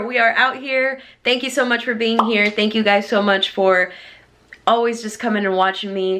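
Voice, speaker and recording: With a Texan accent, a woman speaks in an upbeat tone at a moderate pace over noticeable background noise. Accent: Texan American English. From Houston, Texas. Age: 20s. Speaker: lifestyle vlogger. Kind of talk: casual talk to camera.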